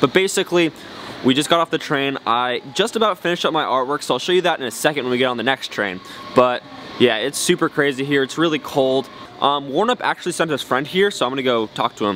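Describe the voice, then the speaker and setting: The speech comes at a very fast pace. The sound is dry with no echo, under light background noise. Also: man. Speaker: scooter rider vlogger. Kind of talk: casual vlog chat. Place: station. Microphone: phone near.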